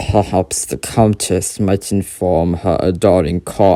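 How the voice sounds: This is a put-on character voice with a low pitch. It moves at a fairly slow pace.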